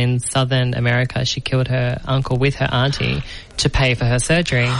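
Over noticeable background noise, a woman with an Australian accent talks at a fairly quick pace in a very deep, low pitch. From New South Wales, Australia. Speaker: podcast host and actress. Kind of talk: interview. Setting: studio.

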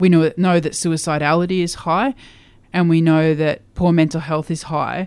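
An Australian accent at a moderate pace, in a very clean recording with a silent background. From Queensland, Australia. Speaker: LGBTIQA+ community leader. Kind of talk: interview.

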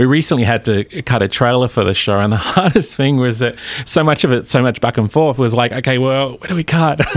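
Over noticeable background noise, a man with an Australian accent talks at a fairly quick pace, using a medium pitch and ordinary pitch variation. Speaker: TV series creator. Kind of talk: interview. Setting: studio.

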